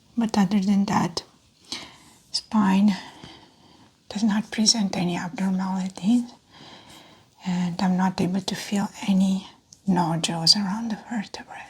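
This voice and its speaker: Soft-spoken and calm in tone, a woman with a medium pitch speaks at a fairly slow pace in a monotone, flat intonation, leaving long, frequent pauses. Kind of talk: soft-spoken roleplay medical exam, clinical instructions to a patient. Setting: close-mic ASMR recording. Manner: soft-spoken, calm.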